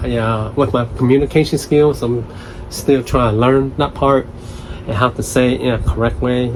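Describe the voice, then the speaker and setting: A man's medium-pitched voice at a moderate pace, fairly even in intonation, over noticeable background noise. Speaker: solo podcast host. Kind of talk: casual unscripted monologue. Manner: halting, hesitant with fillers.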